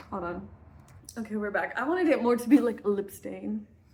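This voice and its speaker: Over noticeable background noise, a woman with an American accent talks at a fairly quick pace with ordinary pitch variation. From US Midwest. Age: 20s. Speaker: vlogger. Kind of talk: casual storytime. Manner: animated.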